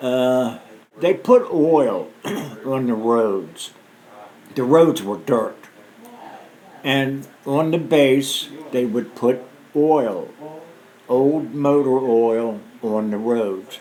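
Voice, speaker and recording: Audible room echo and noticeable background noise surround a man speaking very slowly with long, frequent pauses. His pitch is medium, with ordinary variation. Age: 60s. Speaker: war veteran. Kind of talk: oral history interview. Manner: halting.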